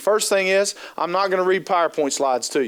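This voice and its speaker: This man's voice sits high in pitch. He talks at a fairly quick pace with ordinary pitch variation. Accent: slight Appalachian Ohio. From US Appalachia, southern Ohio. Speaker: trainer and keynote speaker. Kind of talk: conference training talk. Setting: stage with audience. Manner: fast; animated.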